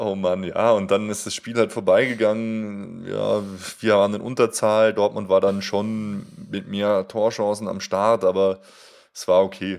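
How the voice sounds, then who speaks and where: Against a quiet background, a man speaks at a fairly slow pace in a monotone, flat intonation, his loudness swinging widely. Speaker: fan podcast co-host. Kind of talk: casual chat. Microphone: new high-end microphone with pop filter.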